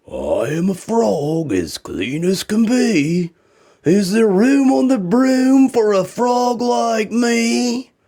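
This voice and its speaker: A man uses a put-on character voice, high-pitched and croaky. He speaks at a very slow pace. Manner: polite, pleading.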